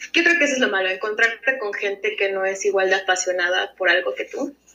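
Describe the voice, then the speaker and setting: A woman with an unremarkable speaking voice, medium pitch, fairly quick pace. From United States (raised from age 1.5 to 17), Mexican-born. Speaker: former film student, illustrator. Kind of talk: casual interview.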